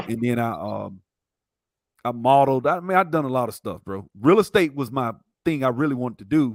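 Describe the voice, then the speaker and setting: A man with a Southern US accent and medium pitch uses lively intonation, his loudness taking big swings. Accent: Southern drawl. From US South, Montgomery, Alabama. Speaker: IT instructor. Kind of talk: casual interview.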